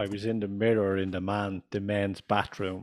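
A man with a Dublin accent speaks at a moderate pace and a fairly low pitch, his intonation monotone and flat, in a very clean recording with a silent background. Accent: Irish (Dublin). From Ireland. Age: 50s.

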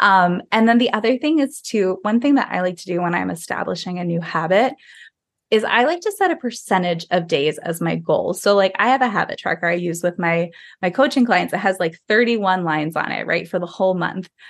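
With an American accent and a plain, everyday voice, the speaker moves at a fairly quick pace. The background is quiet. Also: woman, medium pitch for a woman, lively intonation. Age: 30s. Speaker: health and wellness coach. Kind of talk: casual chat.

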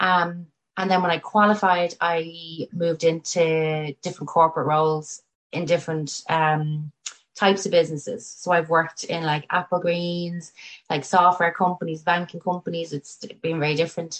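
With a Dublin accent, a woman speaks at a fairly low pitch and moderate pace in a monotone, flat intonation. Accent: Irish (Dublin). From Ireland, Tallaght (Dublin). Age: 30s. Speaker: chartered accountant and business owner. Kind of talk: casual interview.

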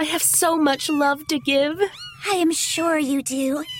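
Over noticeable background noise, a woman with a high pitch speaks at a fairly slow pace with ordinary pitch variation. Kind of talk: horror-comedy audio drama.

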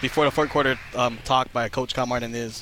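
Noticeable background noise behind a man at medium pitch. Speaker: color analyst. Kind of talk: live color commentary, game analysis. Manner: conversational, explanatory, casual with filler words.

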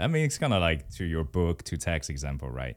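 In a Mandarin accent, a man with a very deep, low pitch speaks at a fairly quick pace on a very clean recording with a silent background. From Taiwan. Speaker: guest. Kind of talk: casual interview chat.

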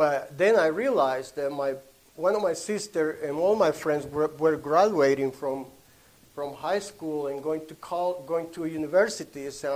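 A fairly high-pitched man with a Honduran accent, at a fairly slow pace, with ordinary pitch variation. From Honduras. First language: Spanish. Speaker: traveling minister. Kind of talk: testimony. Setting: church meeting with audience. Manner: halting.

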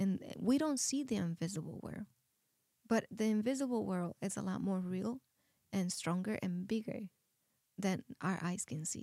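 A woman with a medium-pitched, dark and mellow voice, somewhat breathy, speaks with lively intonation and long, frequent pauses in a dry, close sound with no echo. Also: moderate pace. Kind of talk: testimony.

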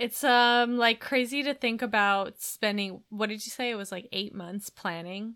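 On a very clean recording with a silent background, a woman with a bright, sharp tone and fairly high pitch talks at a moderate pace with hardly any pauses. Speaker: podcast co-host. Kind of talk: casual banter.

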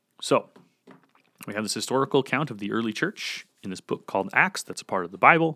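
The voice is bright and sharp in tone, racing at a very fast pace with very wide pitch swings and big swings in loudness. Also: man, medium pitch for a man. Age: 20s. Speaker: podcast host and former pastor. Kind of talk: solo podcast talk on scripture. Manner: halting, many fillers and restarts.

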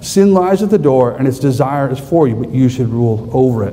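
A man's fairly quick, lively speech in an American accent, with noticeable background noise and audible room echo. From US West, southern Idaho. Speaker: conference speaker, pastor-theologian. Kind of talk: conference talk.

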